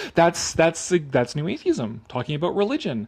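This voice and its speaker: A man speaks over noticeable background noise. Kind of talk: casual talk to camera, live commentary on an article. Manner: casual, conversational, sarcastic.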